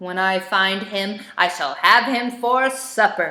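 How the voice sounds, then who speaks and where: A woman's growling, put-on character voice at medium pitch, fairly slow in pace. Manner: growling, menacing.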